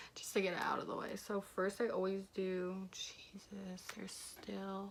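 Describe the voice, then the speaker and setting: Quiet and fairly slow, a woman speaks at a medium pitch with monotone, flat intonation. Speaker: beauty vlogger. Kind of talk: casual makeup tutorial chat.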